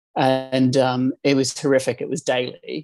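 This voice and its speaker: Dry and close with no echo, the recording captures a man with a New Zealand accent. He has a medium pitch and a fairly slow pace. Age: 40s. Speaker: life coach. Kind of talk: interview.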